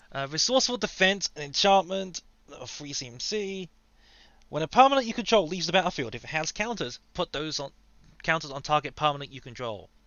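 With very wide pitch swings and big shifts in loudness, a man speaks at a fairly quick pace in a fairly high pitch. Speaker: podcast co-host. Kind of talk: casual chat.

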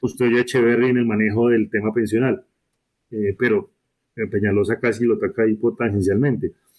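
This man speaks at a medium pitch and a fairly quick pace, with long, frequent pauses. His loudness stays very even, and his pitch varies in an ordinary way. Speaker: university professor. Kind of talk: political discussion. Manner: halting, many repetitions.

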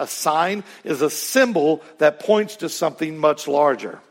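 Speaking at a fairly slow pace, a man with a plain, everyday voice uses lively intonation and a fairly high pitch. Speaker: preacher. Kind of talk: sermon. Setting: church.

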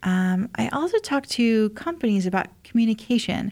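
Somewhat breathy, a woman with a Midwestern US accent is heard on a very clean recording with a silent background. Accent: US Midwest. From Indiana, small town. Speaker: former federal agent and safety speaker. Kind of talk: interview.

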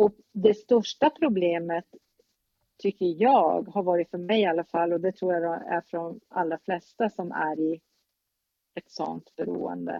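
At a fairly slow pace, a woman with a plain, everyday voice speaks fairly low in pitch with ordinary pitch variation. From northern Sweden, Norrbotten. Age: 50s. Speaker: relative of a mentally ill parent. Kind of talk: interview.

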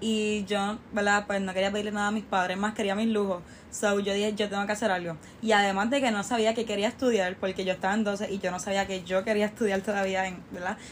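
A woman talks at a medium pitch and a very fast pace. Her intonation stays monotone and flat. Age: 20s. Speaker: university student and small business owner. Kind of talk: interview.

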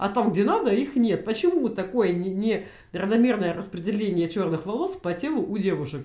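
The woman talks at a moderate pace. There is audible echo from the room. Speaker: podcast co-host. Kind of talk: casual chat. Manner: animated.

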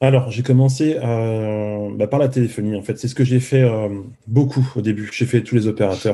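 Speaking at a moderate pace, a man of medium pitch has a dark, mellow tone and fairly even intonation. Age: 30s. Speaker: former car salesman turned coder, YouTuber. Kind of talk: casual interview.

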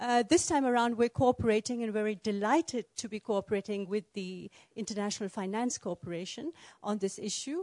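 Against a quiet background, a woman's fairly high voice moves at a fairly quick pace with ordinary pitch variation, sounding dry and close with no echo. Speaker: panel moderator. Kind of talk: moderated panel discussion. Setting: conference room with audience. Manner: facilitating, prompting short answers.

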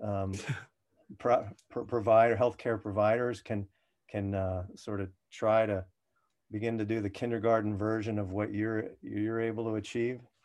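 Against a quiet background, the voice stays monotone and flat. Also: man. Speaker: physician podcast host. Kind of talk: podcast interview.

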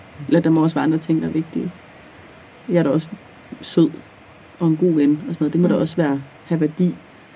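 Very deep and low-pitched, a woman's voice rushes at a very fast pace with long, frequent pauses, very even loudness, and flat, monotone intonation. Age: 20s. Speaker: student teacher. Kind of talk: casual chat.

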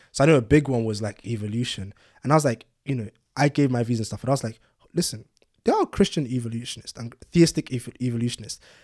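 Speaking at a very fast pace, a man with a London accent keeps to medium pitch with ordinary pitch variation. The sound is dry and close with no echo, on a very clean recording with a silent background. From London, England (born in Nigeria, moved at six). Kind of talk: casual chat.

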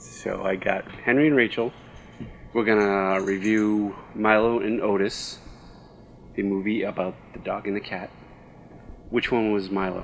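Fairly slow, fairly even speech from a man with fairly low pitch and long, frequent pauses. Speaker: podcast co-host, parent. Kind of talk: casual chat.

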